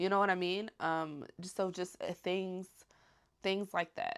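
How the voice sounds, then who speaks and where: A soft-spoken woman talks with fairly even intonation. The recording is very clean, with a silent background. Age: 20s. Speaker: stay-at-home mom and vlogger. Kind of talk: casual Q&A chat.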